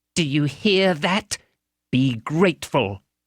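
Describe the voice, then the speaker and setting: A man growls through a put-on character voice at a fairly slow pace, his intonation lively. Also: fairly high pitch for a man. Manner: reproachful.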